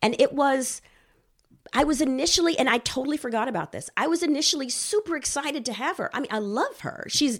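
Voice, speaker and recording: In an American accent, a woman speaks at a moderate pace with a high pitch and lively intonation. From Texas. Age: 40s. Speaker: marriage and family therapist. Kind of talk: casual chat.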